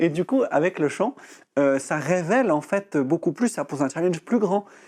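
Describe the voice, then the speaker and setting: The intonation is lively, at a moderate pace. Loudness stays very even throughout. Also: man, high pitch for a man. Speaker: breathing and voice coach. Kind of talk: TV interview.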